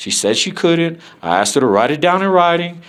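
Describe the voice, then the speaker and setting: Loud and fairly high in pitch, a man's voice comes through. He speaks at a fairly quick pace. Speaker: first amendment auditor filming officials. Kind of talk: heated argument with officials. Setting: government office.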